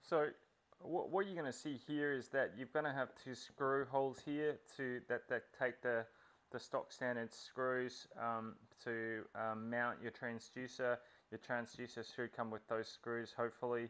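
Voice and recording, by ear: This man has a medium pitch and a fairly bright tone. He talks at a fairly slow pace with fairly even intonation.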